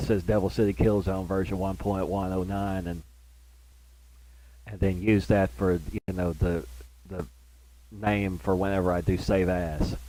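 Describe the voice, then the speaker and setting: With a very deep, low pitch and a dark, mellow tone, a man speaks at a moderate pace with ordinary pitch variation. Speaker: gaming streamer. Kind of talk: gameplay commentary. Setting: live stream on console. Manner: rambling, many fillers and repeats.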